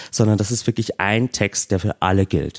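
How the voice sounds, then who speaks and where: A fairly low-pitched man with a slight Austrian accent at a moderate pace, in a dry, close sound with no echo. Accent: slight Austrian, often taken for German. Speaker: activist and stand-in co-host. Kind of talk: casual chat. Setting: remote call.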